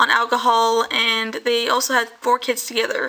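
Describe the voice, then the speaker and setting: A woman speaks in a high, flat monotone. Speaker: YouTuber, true crime narrator. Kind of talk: casual true crime storytelling. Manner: fast; halting, self-correcting.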